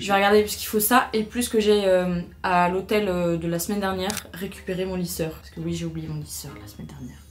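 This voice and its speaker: Spoken at a very fast pace with big swings in loudness, the voice carries audible room echo and has music playing in the background. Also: woman. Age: 20s. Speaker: lifestyle vlogger. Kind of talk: vlog. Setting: outdoors. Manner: animated.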